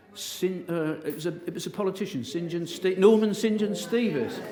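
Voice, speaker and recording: A man with a high pitch talks amid audible room echo. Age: 60s. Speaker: motivational speaker. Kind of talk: inspirational talk. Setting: stage with audience. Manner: animated.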